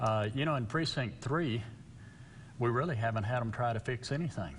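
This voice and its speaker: Speaking at a moderate pace with long, frequent pauses, a man with a medium pitch sounds somewhat breathy, his pitch varying in an ordinary way and his loudness very even amid audible room echo. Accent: West Texas. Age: 60s. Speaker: local political candidate. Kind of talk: interview.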